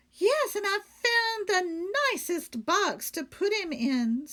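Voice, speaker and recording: In a put-on character voice, a woman squeaks at an extremely high pitch with very wide pitch swings and a fairly slow pace. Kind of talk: bedtime story. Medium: read story. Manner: earnest, innocent.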